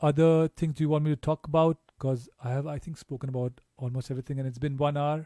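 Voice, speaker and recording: Dark, mellow tone with fairly even intonation and a dry, close sound lacking any echo. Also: man, very clean recording, silent background. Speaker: DJ giving a software tutorial. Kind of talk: tutorial. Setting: live stream. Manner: casual, many fillers.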